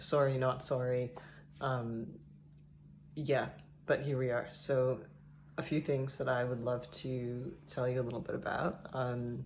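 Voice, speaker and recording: A somewhat breathy man's voice at medium pitch and a fairly slow pace. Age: 30s. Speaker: vlogger. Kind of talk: casual vlog monologue. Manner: hesitant, many filler ums.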